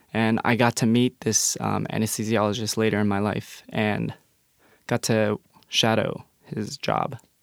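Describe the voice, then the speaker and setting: On a very clean recording with a silent background, a man talks at a fairly slow pace in a fairly low pitch and monotone, flat intonation, the sound dry and close with no echo. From Colorado, Denver area. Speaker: university student. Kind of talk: casual interview. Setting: studio.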